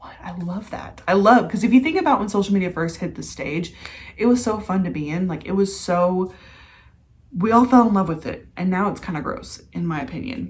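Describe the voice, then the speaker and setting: Here a woman speaks at a medium pitch with ordinary pitch variation. Her voice sounds somewhat breathy. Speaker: mindset and manifestation coach. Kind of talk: casual vlog with sales pitch.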